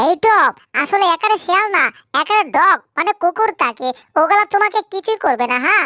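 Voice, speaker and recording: A female-sounding, put-on character voice pitched extremely high moves at a moderate pace. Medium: fan dub. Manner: calm, reassuring.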